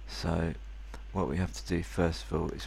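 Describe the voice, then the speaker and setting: A man's very deep, low pitch with vocal fry and very wide pitch swings, plus audible room echo. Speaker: software reviewer. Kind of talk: tutorial. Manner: soft-spoken; halting.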